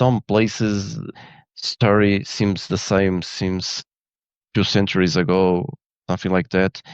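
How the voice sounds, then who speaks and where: Over a quiet background, a man speaks fairly slowly at a fairly low pitch with ordinary pitch variation, the sound dry and close with no echo. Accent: Portuguese. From Portugal. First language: Portuguese. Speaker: photographer and engineer. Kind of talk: interview. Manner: halting.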